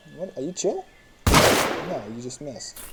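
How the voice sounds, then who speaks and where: Very slow pace amid noticeable background noise. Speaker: gaming video creator. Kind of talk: gameplay commentary.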